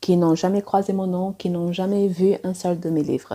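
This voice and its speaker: Speaking at a fairly slow pace, a woman with a non-native accent has a medium pitch, a dark, mellow tone and fairly even intonation. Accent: non-native French, self-described. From Angola, also Cuba, Portugal, South Africa. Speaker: romance author and editor. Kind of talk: personal vlog monologue. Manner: hesitant, many fillers.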